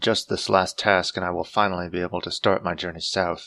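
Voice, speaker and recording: A man in a put-on character voice speaks at a fairly quick pace in a very deep, low pitch with monotone, flat intonation, on a very clean recording with a silent background. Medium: read story. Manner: formal, no contractions.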